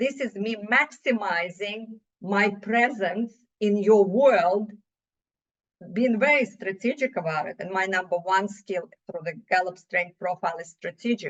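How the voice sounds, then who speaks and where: A woman speaks at a fairly slow pace with a Russian accent. Her pitch is medium, with ordinary variation. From Russia (USSR). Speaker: business owner, CEO. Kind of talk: podcast interview. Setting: podcast.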